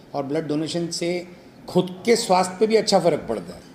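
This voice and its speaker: A normal speaking voice from a man, lively in intonation, at a moderate pace. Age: 60s. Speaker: doctor and club member. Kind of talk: interview.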